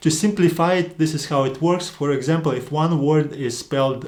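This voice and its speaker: Speaking at a fairly quick pace with a non-native accent, a man uses a fairly high pitch with ordinary pitch variation. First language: not English. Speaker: online Greek language teacher. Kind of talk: educational lecture video.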